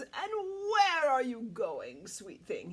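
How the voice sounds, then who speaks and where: A woman puts on a high-pitched character voice. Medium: read story. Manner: suave, falsely polite.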